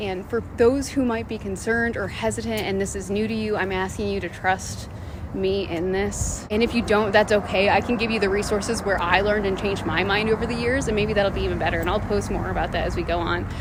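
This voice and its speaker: An American accent marks this woman's medium-pitched voice as she talks with hardly any pauses, with noticeable background noise and audible room echo. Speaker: city council member. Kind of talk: direct-to-camera video update. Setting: outdoors in the middle of a street. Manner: fast; animated.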